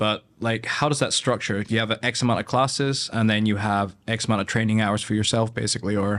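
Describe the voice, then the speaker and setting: In a Scottish accent, a man talks at a fairly quick pace with hardly any pauses and very even loudness. His pitch is fairly low and his intonation monotone and flat. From northern Scotland, after childhood in Japan. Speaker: podcast host. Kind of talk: casual interview. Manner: hesitant, many fillers.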